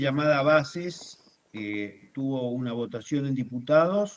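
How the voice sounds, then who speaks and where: A man's fairly high voice at a very slow pace. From Argentina. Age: 70s. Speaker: journalist, writer, former political prisoner. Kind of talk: interview.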